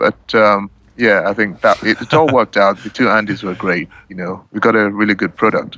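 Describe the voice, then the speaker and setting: A man speaks at a moderate pace with a fairly low pitch and hardly any pauses. His intonation stays fairly even, while his loudness swings widely. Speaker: musician. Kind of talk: interview. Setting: restaurant.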